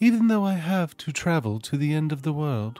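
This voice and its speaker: A man speaks with very wide pitch swings over music in the background. The sound is dry, with no echo. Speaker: storyteller streamer. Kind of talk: story reading aloud.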